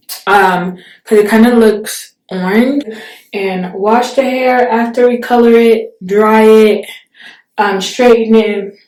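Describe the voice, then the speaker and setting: At a very slow pace, a woman with a fairly high pitch speaks with fairly even intonation in a room with audible echo. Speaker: beauty vlogger. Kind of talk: tutorial. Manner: casual, hesitant with fillers.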